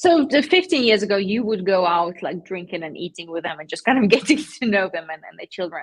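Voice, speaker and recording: A woman with a non-native accent talks at a fairly quick pace with hardly any pauses, very wide pitch swings and big swings in loudness. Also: medium pitch for a woman. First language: not English. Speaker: PR agency founder. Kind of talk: live-streamed panel interview. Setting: live stream.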